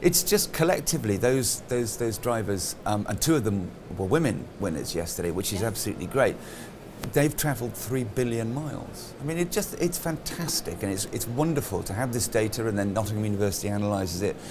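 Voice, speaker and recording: There is noticeable noise in the background. The words come out very fast. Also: man. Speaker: conference host. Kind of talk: interview answer. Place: hall.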